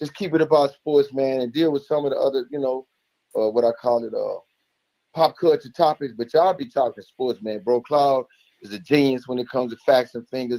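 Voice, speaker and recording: A man talks at a fairly quick pace with big swings in loudness, a medium pitch, ordinary pitch variation and a dark, mellow tone, in a dry, close recording with no echo. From United States. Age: 60s. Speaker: caller to a sports show. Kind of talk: casual call-in praise and sports opinion. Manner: animated.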